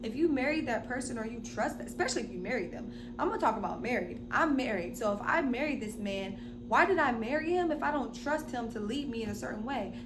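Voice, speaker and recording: Very fast speech with noticeable background noise and audible room echo. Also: woman. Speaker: relationship vlogger. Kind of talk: casual monologue. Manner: animated.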